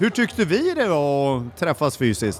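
A man's speech comes with noticeable background noise behind it. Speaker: podcast co-host interviewing at a conference. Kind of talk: casual on-site interviews. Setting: conference venue with crowd.

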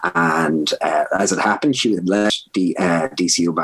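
A man's Dublin accent with lively intonation. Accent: Dublin Irish. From Ireland, north Dublin. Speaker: food science professor. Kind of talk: interview conversation.

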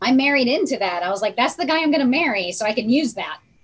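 Amid noticeable background noise, a woman rattles along at a very fast pace with a high pitch and very wide pitch swings. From Rhode Island, US. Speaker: pathologist, associate professor. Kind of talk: quiz show, casual chat.

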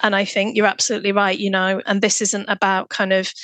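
A woman's bright, sharp tone sits at medium pitch with fairly even intonation. The sound is dry and close, with no echo. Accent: British. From UK. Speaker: fatherhood researcher and nurse. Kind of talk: interview conversation.

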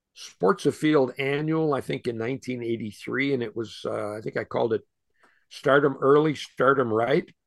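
With an American accent, a man speaks in a plain, everyday voice at medium pitch against a quiet background. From Western New York State. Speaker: outdoor radio host. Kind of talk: casual interview chat.

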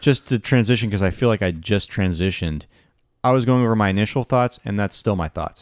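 At a fairly quick pace, a man with a normal speaking voice and a fairly low pitch talks with ordinary pitch variation on a very clean recording with a silent background. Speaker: podcast co-host. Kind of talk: casual chat.

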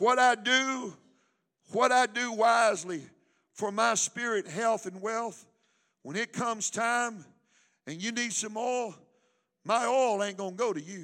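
A man uses a raised, projected voice with a high pitch and a bright, sharp tone, speaking at a fairly slow pace with ordinary pitch variation. Long, frequent pauses break up his speech on a very clean recording with a silent background. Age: 60s. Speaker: pastor. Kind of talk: sermon. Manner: animated.

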